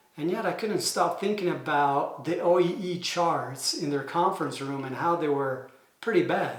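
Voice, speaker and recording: A man's high-pitched voice with audible room echo and noticeable background noise. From Italy. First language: Italian. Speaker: manufacturing engineer and consultant. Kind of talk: explainer video. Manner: hesitant, many fillers.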